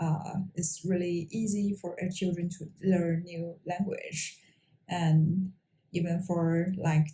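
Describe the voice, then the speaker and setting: The woman's voice is fairly low, somewhat breathy, and dark and mellow in tone. She speaks in a monotone with flat intonation. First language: Mongolian. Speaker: engineer and language-learning vlogger. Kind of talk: personal talk to camera. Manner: halting, many fillers.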